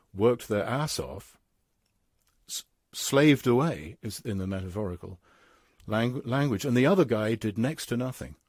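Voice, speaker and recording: A man speaks with a British accent at a moderate pace, his intonation lively. The recording is very clean, with a silent background. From England. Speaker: philosopher and English professor. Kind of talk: interview conversation. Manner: halting, frequent stammers and self-corrections; animated.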